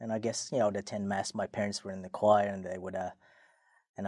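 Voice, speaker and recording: A man's fairly low voice with an Australian accent at a very fast pace, in a dry, close sound with no echo and a quiet background. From Australia, Sydney. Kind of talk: casual interview. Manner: halting.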